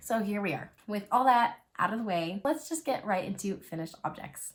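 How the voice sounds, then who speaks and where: The voice is somewhat breathy, with very wide pitch swings. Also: woman, medium pitch for a woman, moderate pace. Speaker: knitting and crochet podcaster. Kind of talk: casual chat. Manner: chatty.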